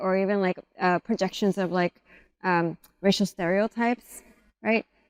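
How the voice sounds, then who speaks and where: In an American accent, a woman speaks at a medium pitch and moderate pace with fairly even intonation, on a very clean recording with a silent background and dry, close sound with no echo. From Los Angeles, US. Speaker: poet and educator. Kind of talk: casual chat.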